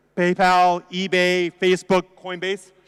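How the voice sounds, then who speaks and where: In an American accent, the speaker sounds dry and close, with no echo at all. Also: man. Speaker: attorney, conference speaker. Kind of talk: conference talk. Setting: stage with audience. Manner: fast; animated, joking.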